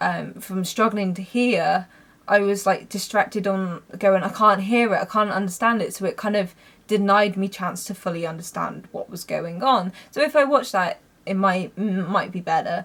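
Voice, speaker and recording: A woman with a British accent talks at a moderate pace in a medium pitch. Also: ordinary pitch variation. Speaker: film reviewer. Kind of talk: casual vlog talk. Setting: home, mother's bedroom.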